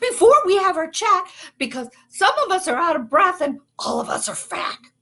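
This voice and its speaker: A woman's put-on character voice, extremely high in pitch, with very wide pitch swings and a moderate pace. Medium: stage play.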